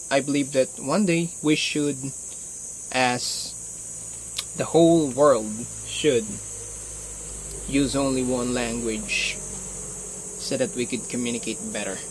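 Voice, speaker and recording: With a Filipino accent, a man speaks at a fairly slow pace in a medium pitch with ordinary pitch variation. His speech has long, frequent pauses, and there is noticeable background noise. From Philippines. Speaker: martial arts vlogger. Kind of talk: casual vlog talk. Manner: halting.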